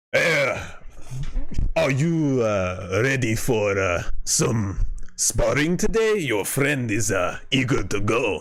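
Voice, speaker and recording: Over noticeable background noise, a man does a booming put-on character voice at medium pitch, very slow in pace and very even in loudness. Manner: hearty, eager.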